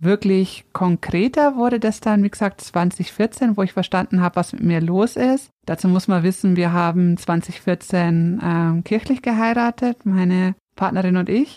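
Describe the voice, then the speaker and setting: A woman's dark, mellow voice at medium pitch, fairly slow with hardly any pauses, very even in loudness, with ordinary pitch variation and a dry, close sound with no echo. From Upper Palatinate, Bavaria. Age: 30s. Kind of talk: interview conversation, personal storytelling.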